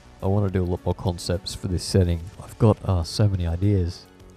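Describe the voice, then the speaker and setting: With music playing behind him, a man talks in a very deep, low pitch. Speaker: digital artist. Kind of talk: casual voice-over commentary on painting timelapse. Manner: rambling, hesitant, self-deprecating.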